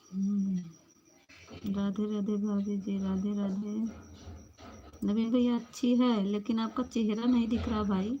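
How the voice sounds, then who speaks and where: The voice has a dark, mellow tone and a monotone, flat intonation, and it is somewhat breathy. It moves at a very slow pace with long, frequent pauses. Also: woman, medium pitch for a woman. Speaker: live stream host. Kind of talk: live stream chat with viewers. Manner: casual, chatty.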